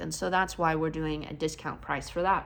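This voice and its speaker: A woman with vocal fry talks at a fairly quick pace, with audible room echo. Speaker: car detailer, vlogger. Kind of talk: casual vlog explanation. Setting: garage workshop.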